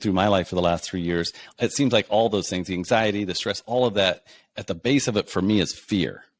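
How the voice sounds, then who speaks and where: On a very clean recording with a silent background, a man with an American accent has a plain, everyday voice, fairly low in pitch, with ordinary pitch variation at a moderate pace. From Kansas, USA. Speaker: podcast host. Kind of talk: podcast interview host.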